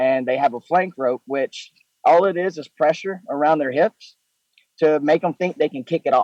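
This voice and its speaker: Here is a man with a Southern US accent and a fairly high pitch. His moderate pace and ordinary pitch variation come through a dry, close sound with no echo. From Mississippi, US South. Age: 20s. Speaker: professional bull rider. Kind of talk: interview.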